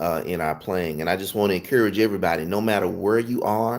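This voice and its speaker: Over a very clean recording with a silent background, a man speaks at a fairly low pitch and moderate pace with ordinary pitch variation. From US South. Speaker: gospel piano teacher. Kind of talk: livestream tutorial talk. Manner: casual, conversational with fillers.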